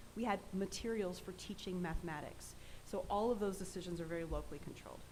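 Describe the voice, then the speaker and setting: A woman at medium pitch speaks at a very fast pace with fairly even intonation, and the room echo is audible. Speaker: education department official presenting standards. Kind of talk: presentation and Q&A at board meeting.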